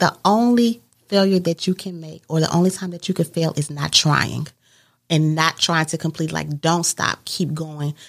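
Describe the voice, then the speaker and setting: A woman speaks in a normal speaking voice at a fairly low pitch and moderate pace, with ordinary pitch variation. The recording is very clean with a silent background. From Mississippi, then Indiana from age 12. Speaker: entrepreneur and event planner. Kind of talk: casual interview.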